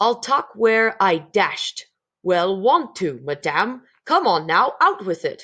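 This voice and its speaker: A female-sounding voice uses a put-on character voice with a fairly high pitch. The pace is fairly slow. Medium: read story. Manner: rude, blustering.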